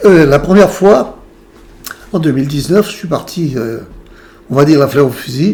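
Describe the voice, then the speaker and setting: Pausing long and often, a man with a fairly high pitch and lively intonation speaks over noticeable background noise. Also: moderate pace. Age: 70s. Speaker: patient sharing near-death experience. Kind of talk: testimony.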